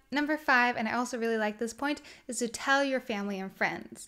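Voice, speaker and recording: A woman talks at a fairly quick pace with a Swedish accent. Her fairly high voice has a bright, sharp tone and fairly even intonation over a quiet background. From Sweden. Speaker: minimalism content creator. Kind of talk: casual talk to camera. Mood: warm, smiling, relaxed. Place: home room.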